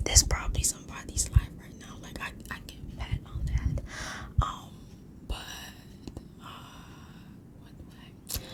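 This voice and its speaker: Someone is whispering at a fairly slow pace. Long, frequent pauses break up the speech, and background noise is noticeable. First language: not English. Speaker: ASMR storyteller. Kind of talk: improvised ASMR story; casual chat to viewers. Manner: halting, stumbling over words.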